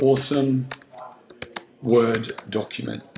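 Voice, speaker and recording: Against noticeable background noise, a man speaks at a medium pitch in a flat monotone. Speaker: business coach. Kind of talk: tutorial. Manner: casual.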